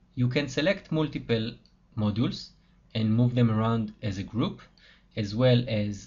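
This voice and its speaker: Speaking with a non-native accent, a man keeps a fairly slow pace. His medium-pitched voice is somewhat breathy. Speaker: software developer. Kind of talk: tutorial.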